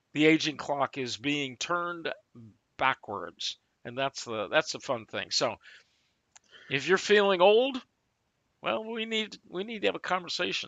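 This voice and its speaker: A man's voice at a fairly slow pace, with very wide swings in pitch. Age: 60s. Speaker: talk show co-host. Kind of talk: sales pitch. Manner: animated.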